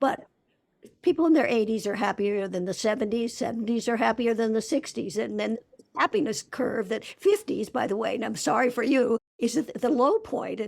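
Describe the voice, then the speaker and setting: A woman of fairly high pitch with vocal fry, ordinary pitch variation and a moderate pace. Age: 80s+. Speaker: author and researcher. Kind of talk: interview. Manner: halting.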